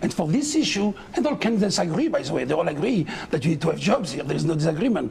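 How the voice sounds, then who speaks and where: Over noticeable background noise, a man with a non-native accent speaks at a high pitch. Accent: foreign. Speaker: mayoral candidate. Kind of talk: political debate.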